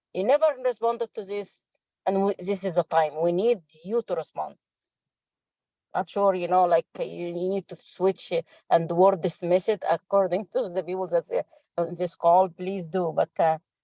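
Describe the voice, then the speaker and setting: A woman speaks with a non-native accent at a moderate pace and medium pitch. Her pitch varies in an ordinary way, and the sound is dry and close with no echo. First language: not English. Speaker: climate subcommittee member. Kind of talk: committee meeting discussion. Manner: halting, direct.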